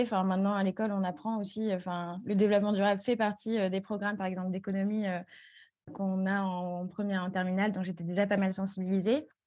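A woman's fairly quick speech plays out with a quiet background behind her. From Strasbourg, eastern France. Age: 20s. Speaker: community manager. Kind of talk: interview.

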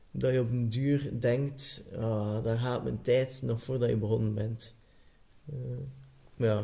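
This man speaks very slowly in a flat monotone with a Flemish accent, his medium-pitched voice dark, mellow and somewhat breathy. Long pauses come often. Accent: Flemish Dutch. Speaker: podcast guest. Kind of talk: casual chat.

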